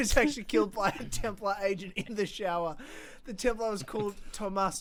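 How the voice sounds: Pitch variation here is ordinary. The delivery is a natural reading voice.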